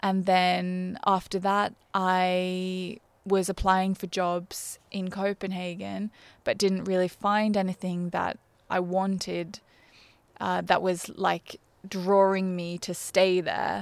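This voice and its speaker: A woman with an Australian accent speaks at a very slow pace in a flat monotone, recorded very cleanly against a silent background. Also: medium pitch for a woman. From Australia, Brisbane. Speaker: fashion PR manager. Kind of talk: interview.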